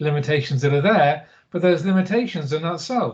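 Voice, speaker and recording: This man has a fairly high-pitched voice. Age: 60s. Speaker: Buddhist monk. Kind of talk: interview. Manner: hesitant, many fillers.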